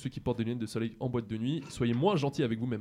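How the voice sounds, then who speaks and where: At a very fast pace, a man talks in a medium pitch with a dark, mellow tone. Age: 20s. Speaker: student radio columnist. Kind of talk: scripted radio column.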